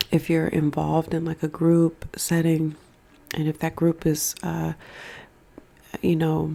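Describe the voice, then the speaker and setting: A soft-spoken woman talks at a fairly slow pace in a very deep, low pitch, her gentle tone flat and monotone, with long, frequent pauses. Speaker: ASMR creator, tarot and oracle card reader. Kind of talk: ASMR mukbang card reading, casual talk to camera. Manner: soft, gentle, eating sounds.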